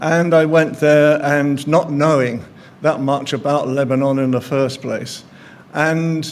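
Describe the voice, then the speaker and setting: Audible room echo surrounds a man with a fairly high pitch. He speaks at a fairly slow pace with fairly even intonation. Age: 70s. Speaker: journalist. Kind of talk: speech at an event.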